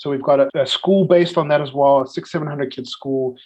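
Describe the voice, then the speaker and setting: A man with a South African accent talks with ordinary pitch variation. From South Africa, Cape Town. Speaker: missionary, ministry leader. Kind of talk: interview. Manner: hesitant, many fillers.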